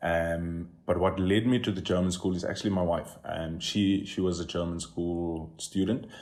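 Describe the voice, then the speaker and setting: Audible room echo surrounds a man with a very deep, low pitch. He talks at a moderate pace with fairly even intonation. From South Africa, El Dorado Park (Johannesburg). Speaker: comedian. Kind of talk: podcast interview.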